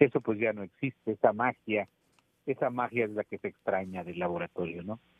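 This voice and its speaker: Speaking at a fairly quick pace, a man with a fairly low voice shows ordinary pitch variation and big swings in loudness. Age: 60s. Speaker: photojournalist. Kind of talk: interview. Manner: hesitant, with fillers.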